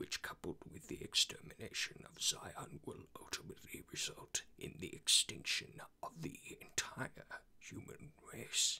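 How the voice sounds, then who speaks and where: A man's whispering in a put-on character voice with big swings in loudness. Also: moderate pace. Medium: voice reel. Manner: slow, formal, detached.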